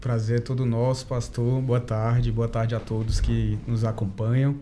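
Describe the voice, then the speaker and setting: Over audible room echo, a man speaks at a moderate pace in a dark, mellow tone, his loudness very even and his intonation flat and monotone. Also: medium pitch for a man. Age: 30s. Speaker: family doctor. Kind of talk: podcast interview.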